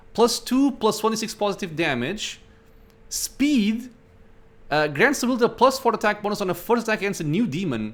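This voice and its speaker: A man with a non-native accent, high-pitched, fairly quick, with lively intonation, in a very clean recording over a silent background. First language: not English. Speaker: gaming YouTuber. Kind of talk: let's play commentary. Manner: casual, thinking aloud.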